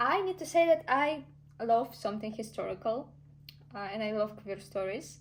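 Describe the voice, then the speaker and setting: Vocal fry runs through a woman's fairly high voice. She moves at a moderate pace, her pitch swinging very widely. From Russia. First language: Russian. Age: 20s. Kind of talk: casual talk to camera.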